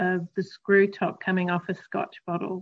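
With an Australian accent, the speaker talks at a fairly slow pace. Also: woman. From Australia, Queensland. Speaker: recovering alcoholic. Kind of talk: interview, personal recovery story.

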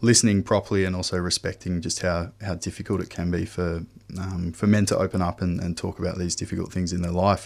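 In a very clean recording with a silent background, a man with an Australian accent speaks at a fairly quick pace. His pitch is very deep and low, with fairly even intonation. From Western Australia, Perth. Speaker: men's health program manager, former nurse. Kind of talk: radio interview.

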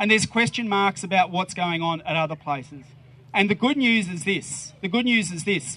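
A man with an Australian accent speaks at a moderate pace in a high, bright and sharp voice, his pitch varying in an ordinary way. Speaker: politician. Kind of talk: rally speech. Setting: outdoors.

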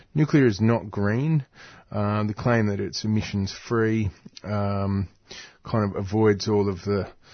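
Fairly low-pitched, fairly slow speech from a man with an Australian accent. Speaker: radio co-presenter. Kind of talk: radio discussion.

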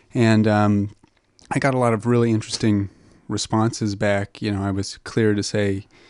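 Against a quiet background, a man speaks in a Southwestern US accent. His fairly low voice moves at a moderate pace with monotone, flat intonation. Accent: American (Southwest). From New Mexico, US. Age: 20s. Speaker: foundation researcher. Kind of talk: radio interview.

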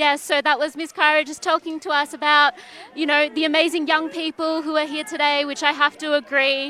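A woman's high, raised and projected voice in a flat monotone, at a fairly quick pace. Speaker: radio reporter. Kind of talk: live field report. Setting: outdoors at a march. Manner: halting, many fillers.

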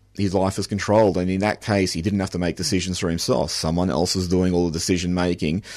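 Against a quiet background, a man with an Australian accent speaks at a very deep, low pitch with fairly even intonation. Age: 40s. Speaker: novelist. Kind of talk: radio interview.

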